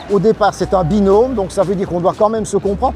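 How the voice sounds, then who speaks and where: Over noticeable background noise, a man with a Belgian accent talks at a high pitch. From Belgium (Wallonia). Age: 60s. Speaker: press motorcycle rider, former cyclist. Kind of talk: interview.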